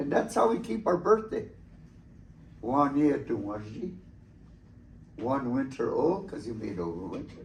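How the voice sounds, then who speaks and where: This man talks at a fairly slow pace in a fairly high voice with vocal fry, his pitch swinging very widely. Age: 70s. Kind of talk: talk to students about traditions. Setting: school presentation. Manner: halting with many fillers.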